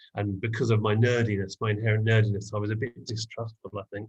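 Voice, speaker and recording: Somewhat breathy, a man with an English accent speaks at a medium pitch. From England. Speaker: hip hop artist. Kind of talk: podcast interview answer.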